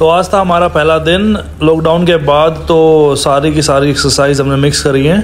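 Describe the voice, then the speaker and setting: A man with a plain, everyday voice speaks at a moderate pace, with hardly any pauses and light background noise. His pitch is fairly high, and his intonation is fairly even. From Haryana, India. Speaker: vlogger. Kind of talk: casual talk to camera.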